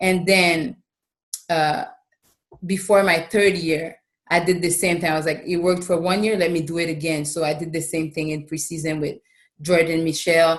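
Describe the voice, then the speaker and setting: A woman's fairly low voice in a Quebec accent, fairly even in intonation, at a moderate pace. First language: French. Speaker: professional basketball player. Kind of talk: podcast interview. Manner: casual.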